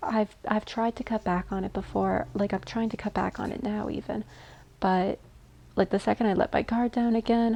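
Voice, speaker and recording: Her voice is fairly high and somewhat breathy. The woman keeps a moderate pace. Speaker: gaming streamer. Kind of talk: casual chat. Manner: animated.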